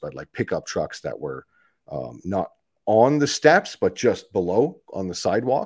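Recorded very cleanly against a silent background, a man with a Canadian accent talks at a moderate pace. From Canada, Ottawa. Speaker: military veteran and advocate. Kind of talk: casual interview. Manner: halting, many fillers and repetitions.

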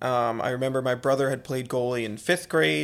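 A man with a Philadelphia accent is speaking. His pitch is medium and his pace moderate. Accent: Philadelphia-area American. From Conshohocken, Pennsylvania (Philadelphia area). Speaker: college lacrosse head coach. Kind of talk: casual interview.

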